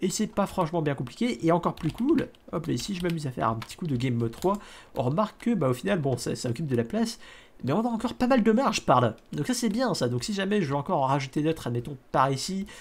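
This very fast speech is captured on a very clean recording with a silent background. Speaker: Minecraft let's play YouTuber. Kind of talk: gameplay commentary. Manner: hesitant, many fillers and repetitions.

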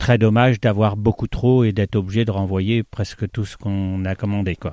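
Fairly low in pitch, a man's voice has a dark, mellow tone, dry and close with no echo on a very clean recording with a silent background. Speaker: bookseller. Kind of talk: radio interview. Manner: repeats words, somewhat halting.

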